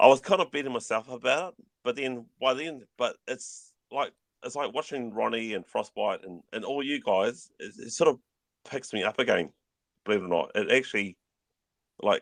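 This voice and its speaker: A man with a New Zealand accent at medium pitch, in a dry, close sound with no echo. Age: 50s. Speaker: YouTuber and collector. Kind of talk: casual chat. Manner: fast; mumbling.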